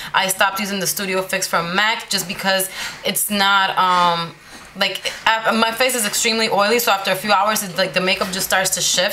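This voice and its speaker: A woman's medium-pitched, monotone, flat voice over noticeable background noise. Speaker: beauty vlogger. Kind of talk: makeup tutorial. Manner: fast.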